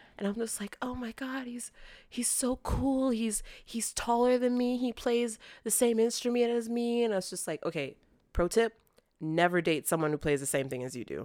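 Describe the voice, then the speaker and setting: In a very clean recording with a silent background, a woman with an American accent speaks at a moderate pace, her fairly high pitch carrying lively intonation and an animated tone. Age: 20s. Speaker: after-school care worker.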